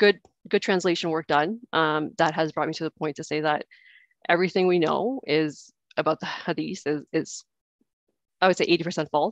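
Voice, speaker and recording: Speaking with a Canadian accent, a woman with a fairly low pitch keeps a moderate pace and ordinary pitch variation, the sound dry with no echo and the background quiet. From Canada. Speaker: participant sharing conversion story. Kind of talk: personal testimony. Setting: video call. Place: home room. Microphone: headset.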